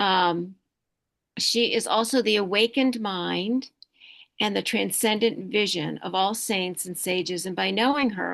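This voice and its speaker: In a quiet background, a woman speaks at a fairly slow pace in a plain, everyday voice, medium in pitch with ordinary pitch variation. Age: 60s. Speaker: meditation teacher and energy healer. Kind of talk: talk to online group, spiritual presentation.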